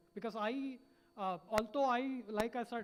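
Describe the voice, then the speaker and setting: Noticeable background noise sits behind this voice. The intonation stays fairly even at a moderate pace. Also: man. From India, Hubballi, Karnataka. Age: 20s. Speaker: startup founder, panelist. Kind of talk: motivational panel talk. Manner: halting, many fillers.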